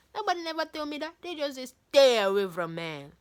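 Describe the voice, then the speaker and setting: The intonation is lively. It belongs to a woman. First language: not English. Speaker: book reader. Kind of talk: reading aloud.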